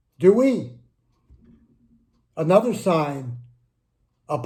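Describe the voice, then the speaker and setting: A man speaks with very wide swings in pitch. Room echo is audible. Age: 60s. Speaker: humanist video blogger. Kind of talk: casual monologue to camera.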